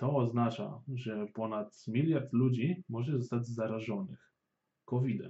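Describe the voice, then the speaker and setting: Very slowly, a man speaks at a medium pitch, somewhat breathy, with ordinary pitch variation. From Poland, Warsaw. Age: 20s. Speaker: podcast host. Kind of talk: scripted news narration.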